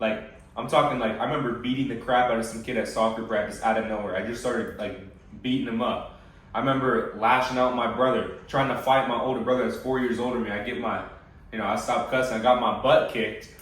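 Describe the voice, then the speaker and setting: A man speaks with an American accent at a medium pitch. Audible room echo and noticeable background noise surround him. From USA. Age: 20s. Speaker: fitness coach. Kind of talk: casual chat. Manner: halting.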